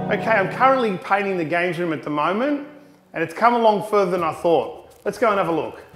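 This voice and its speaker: High-pitched man at a very fast pace with lively intonation, audible room echo and noticeable background noise. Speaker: retro gaming vlogger. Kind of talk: casual vlog walkthrough. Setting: unfinished home games room. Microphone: echo in room.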